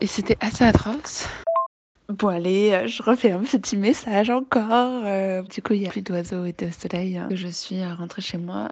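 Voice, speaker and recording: A woman speaks fairly slowly at medium pitch, with ordinary pitch variation and big swings in loudness. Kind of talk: voice message. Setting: outdoors in a park, then at home. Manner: casual, hesitant.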